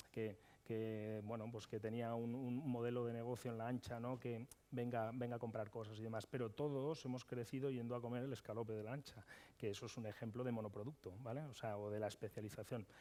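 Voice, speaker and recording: Dark and mellow in tone, this man's voice rests at a medium pitch. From Madrid, Spain. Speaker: chef and restaurateur. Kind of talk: conference panel discussion. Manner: animated, with frequent hesitations.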